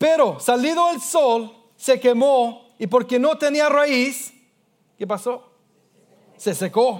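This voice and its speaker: A man with an English accent speaks at an extremely high pitch with ordinary pitch variation. His pace is very slow, with long, frequent pauses. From Australia. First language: English (speaking Spanish). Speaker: pastor. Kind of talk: sermon. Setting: church. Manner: halting.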